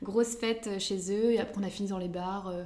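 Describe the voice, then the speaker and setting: Over noticeable background noise and audible room echo, a woman speaks at a medium pitch in a monotone, flat intonation. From northern France, Lille area. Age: 20s. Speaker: midwife. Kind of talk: casual interview chat.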